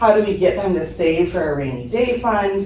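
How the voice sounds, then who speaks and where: Noticeable background noise and audible room echo surround a woman who speaks at a fairly slow pace with ordinary pitch variation. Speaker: high school finance teacher. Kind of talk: presentation at a school board meeting. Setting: school board meeting room, speaking without mic. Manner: loud; many filler ums.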